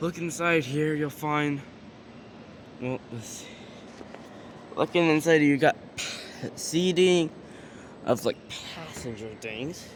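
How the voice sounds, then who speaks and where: A man speaks at a very slow pace in a fairly high pitch, with ordinary pitch variation and big swings in loudness. Long, frequent pauses break his speech against noticeable background noise. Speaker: vlogger touring a train museum. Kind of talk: casual walkthrough vlog.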